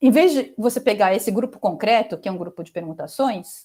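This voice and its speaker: A woman speaks at a moderate pace in a fairly high pitch. Her intonation is lively. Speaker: mathematics professor. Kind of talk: lecture. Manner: halting, many fillers.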